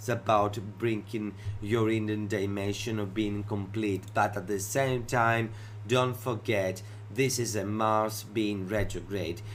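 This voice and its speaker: With a Greek accent, a man speaks in a flat monotone at a fairly low pitch, with audible room echo. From Greece. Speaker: astrologer. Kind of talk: educational talk show monologue.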